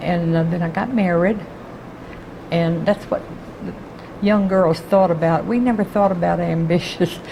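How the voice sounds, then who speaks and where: Over noticeable background noise, a woman with a fairly low pitch speaks at a fairly slow pace with long, frequent pauses, very even loudness and fairly even intonation. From Texas, Houston. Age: 80s+. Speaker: retired court clerk. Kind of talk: oral history interview.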